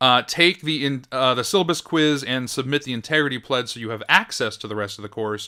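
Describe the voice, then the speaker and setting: A man's bright, sharp voice at a fairly quick pace, on a very clean recording with a silent background. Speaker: professor. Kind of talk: recorded course tour tutorial. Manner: fast; casual with fillers.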